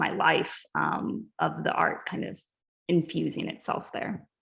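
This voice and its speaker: The speaker talks at a fairly slow pace with vocal fry. The recording is very clean, with a silent background. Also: woman. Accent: American. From US South, Ozark Mountains. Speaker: artist and art educator. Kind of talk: artist talk Q&A.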